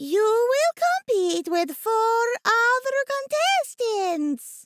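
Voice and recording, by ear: A put-on character voice, shrill and extremely high in pitch. It moves at a very slow pace.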